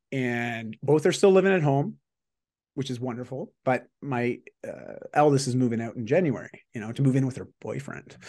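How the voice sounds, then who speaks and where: The speaker has a plain, everyday voice and talks at a fairly quick pace. The background is quiet. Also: man. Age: 40s. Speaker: executive performance coach and author. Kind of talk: casual interview chat.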